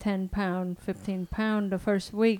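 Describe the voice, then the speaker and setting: A woman speaks in a dark, mellow tone at a medium pitch. Her intonation is monotone and flat, and her pace fairly slow. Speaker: fitness trainer. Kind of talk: casual chat.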